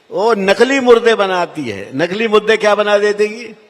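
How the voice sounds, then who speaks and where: There is noticeable background noise behind a man with a high-pitched voice. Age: 80s+. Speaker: politician. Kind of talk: political speech.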